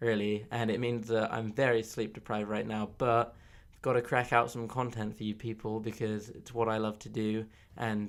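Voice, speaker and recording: On a very clean recording with a silent background, a man with a southern English accent speaks at a fairly quick pace and medium pitch with monotone, flat intonation. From southern England, Oxfordshire. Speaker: podcast host. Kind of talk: casual monologue. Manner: hesitant, many fillers.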